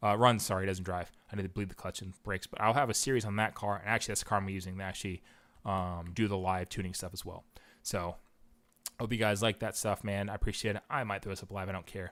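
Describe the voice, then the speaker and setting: Speech at a very fast pace with fairly even intonation. The recording is very clean, with a silent background. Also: man, fairly low pitch for a man. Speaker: car tuner and educator. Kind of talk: live-streamed tutorial. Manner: casual, filler-heavy.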